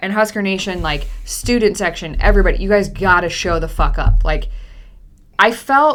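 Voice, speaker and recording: A woman talks at a moderate pace in an animated tone. Audible room echo can be heard. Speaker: college football podcast co-host. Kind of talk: casual chat. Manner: loud.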